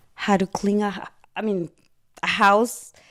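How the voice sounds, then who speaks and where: A woman speaks at a very slow pace with a Guatemalan accent. The recording is very clean, with a silent background. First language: Spanish. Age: 40s. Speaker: cleaning business owner. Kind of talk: interview.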